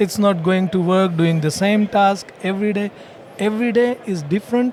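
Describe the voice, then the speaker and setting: A man with an Indian accent speaks at a high pitch with fairly even intonation. Noticeable background noise is present. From India, Gujarat (Palanpur). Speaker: franchise owner. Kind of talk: podcast interview. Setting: franchising expo floor.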